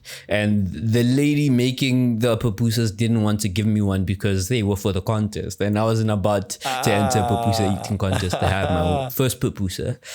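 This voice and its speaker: Noticeable background noise sits behind a man talking at a moderate pace in a fairly low pitch. His intonation is fairly even and his loudness very even. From Pretoria, South Africa. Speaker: software developer. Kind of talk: podcast interview answer. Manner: casual, hesitant.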